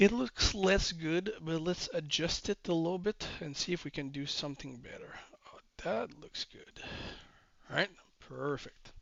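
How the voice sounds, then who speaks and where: A man's high-pitched voice at a fairly slow pace, with ordinary pitch variation and big swings in loudness. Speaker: trading educator. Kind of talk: tutorial. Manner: slow, deliberate pace; hesitant with fillers.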